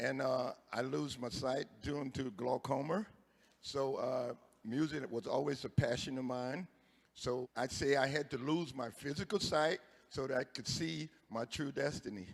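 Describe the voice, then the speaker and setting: Speaking with a Louisiana accent, a man talks at a fairly slow pace in a medium pitch with ordinary pitch variation. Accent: Louisiana Southern US. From Louisiana, rural north. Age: 60s. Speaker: singer, contestant. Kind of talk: interview. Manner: halting, many fillers.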